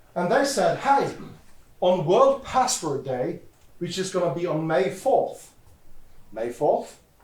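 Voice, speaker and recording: With audible room echo, a man talks at a moderate pace in a high voice that makes very wide pitch swings. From Norway, west coast (Haugesund). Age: 40s. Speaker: security expert, conference speaker. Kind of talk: conference talk.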